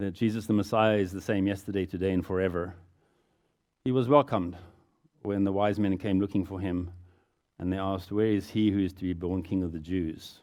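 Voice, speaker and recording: Against a quiet background, a man with a fairly low pitch and a dark, mellow tone speaks at a fairly quick pace with fairly even intonation. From South Africa. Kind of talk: talk to a church audience. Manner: unscripted, conversational.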